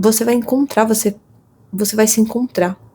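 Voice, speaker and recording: A somewhat breathy woman's voice, fairly high in pitch, with a dark, mellow tone. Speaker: tarot reader. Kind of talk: intuitive tarot reading.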